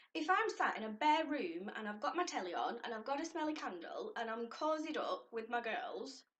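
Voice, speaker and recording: A woman speaks in a Lancashire accent. Her pitch is high. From northern England, Lancashire. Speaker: lifestyle vlogger. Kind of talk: casual vlog talk to camera.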